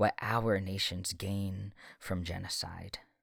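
A man speaks in a solemn tone in a very clean recording with a silent background. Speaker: podcast host and poet. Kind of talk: poem performed aloud, impassioned spoken-word prayer of lament and defiance. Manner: solemn, earnest, building from mournful hush to fervent, ringing vows; measured, cadenced, rhythmic delivery with emphatic stresses.

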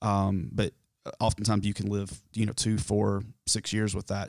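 A man with a Southern US accent, fairly low and monotone, at a fairly quick pace, in a dry, close, very clean recording with a silent background and no echo. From US South, South Carolina foothills. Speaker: mock therapy client. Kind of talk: role-played therapy intake. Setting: studio, on camera. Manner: halting.

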